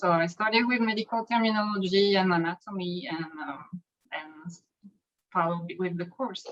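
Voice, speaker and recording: With a French accent, a woman talks at a moderate pace at a medium pitch with ordinary pitch variation. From France. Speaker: medical coder. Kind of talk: interview.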